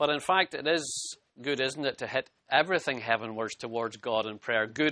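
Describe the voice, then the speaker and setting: Talking at a fairly quick pace, a man with a Scottish accent uses a medium pitch and ordinary pitch variation. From Scotland. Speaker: pastor. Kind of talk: sermon.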